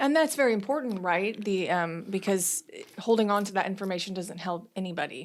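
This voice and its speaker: On a very clean recording with a silent background, a woman with an unremarkable speaking voice talks fairly quickly at a medium pitch with lively intonation. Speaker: union podcast host. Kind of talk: podcast interview.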